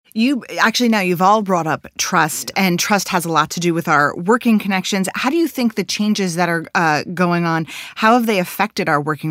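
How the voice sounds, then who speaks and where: A woman with a plain, everyday voice, fairly low in pitch, with lively intonation and a fairly quick pace. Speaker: podcast host. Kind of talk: moderated panel interview.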